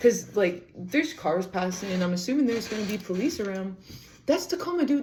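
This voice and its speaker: A loud woman speaks in an animated tone, her fairly high voice making very wide pitch swings. Noticeable background noise runs beneath her. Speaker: podcaster. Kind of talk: casual storytelling.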